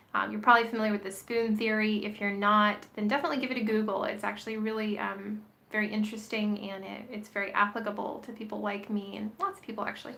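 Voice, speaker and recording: A woman with a fairly high pitch talks very fast, with hardly any pauses and a monotone, flat intonation. Noticeable background noise and audible room echo are present. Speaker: vlogger. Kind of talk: casual vlog monologue. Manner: hesitant, many fillers.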